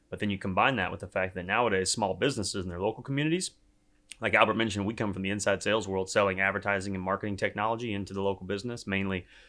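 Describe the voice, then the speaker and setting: A man talks at a very fast pace in a Texan accent, his pitch fairly low and his intonation fairly even. The tone is bright and sharp, and the recording is very clean with a silent background. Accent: Southern US, Texan twang. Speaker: startup co-founder. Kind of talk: casual interview. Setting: in person in New York.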